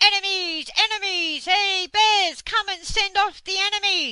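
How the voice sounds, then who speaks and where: A woman shouts loudly in a squeaky, put-on character voice at an extremely high pitch, with monotone, flat intonation and a fairly slow pace. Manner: loud shouting, alarmed.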